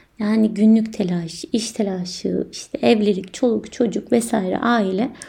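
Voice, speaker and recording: A woman speaks at a very slow pace in a fairly high pitch with ordinary pitch variation. Her voice is somewhat breathy, with a dark, mellow tone. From Turkey, inner Aegean. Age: 20s. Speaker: podcast host. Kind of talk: personal monologue.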